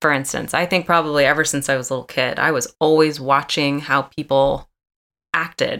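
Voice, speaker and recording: A woman with an American accent speaks in a very deep, low voice, her tone bright and sharp and her intonation flat and monotone. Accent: Southern drawl comes out when tired. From Atlanta, Georgia (US South). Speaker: actress. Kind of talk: casual interview chat. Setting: video call.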